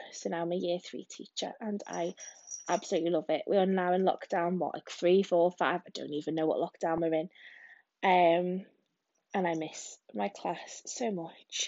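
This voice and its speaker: Her pitch fairly low, a woman talks at a moderate pace with fairly even intonation. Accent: English. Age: 30s. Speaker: podcaster, single mum and primary school teacher. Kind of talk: casual solo monologue. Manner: rambling with many hesitations.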